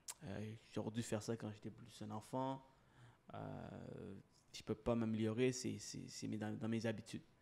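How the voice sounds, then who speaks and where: Fairly low in pitch, a man speaks with a dark, mellow tone. His pace is fairly slow and his intonation monotone and flat. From Sri Lanka, moved to Quebec at 8. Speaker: mortgage broker and podcaster. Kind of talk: interview. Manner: halting.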